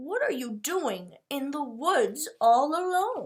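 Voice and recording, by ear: Growling in a put-on character voice, a woman speaks at a very slow pace with high pitch and very wide pitch swings.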